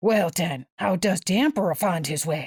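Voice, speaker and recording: A growling, put-on character voice that sounds female, pitched in the middle range and delivered at a moderate pace. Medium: read story. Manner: blunt, informal.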